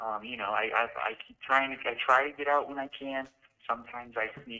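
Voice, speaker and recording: A man with a plain, everyday voice, fairly even intonation and a fairly quick pace. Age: young. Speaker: college student. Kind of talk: casual chat. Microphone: echoing audio.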